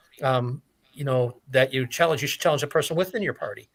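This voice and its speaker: In a bright, sharp tone, a man talks at a fairly high pitch with ordinary pitch variation. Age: 60s. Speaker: entrepreneur. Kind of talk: casual chat. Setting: live stream.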